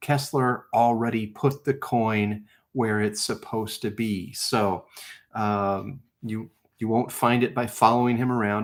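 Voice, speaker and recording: A man's medium-pitched voice at a fairly slow pace with fairly even intonation. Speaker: live stream host of treasure hunt game. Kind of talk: live stream casual talk. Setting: live stream.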